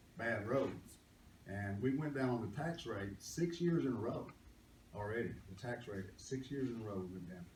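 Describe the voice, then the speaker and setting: With audible room echo and noticeable background noise, a man speaks at medium pitch and a moderate pace with ordinary pitch variation. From East Texas. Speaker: county commissioner. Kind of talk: candidate forum speech. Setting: public library meeting with audience.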